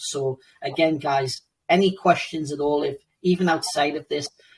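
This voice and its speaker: A somewhat breathy man's voice, fairly high in pitch, at a moderate pace with fairly even intonation. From United Kingdom. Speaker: crypto game project team member. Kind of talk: online AMA Q&A. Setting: Telegram voice chat.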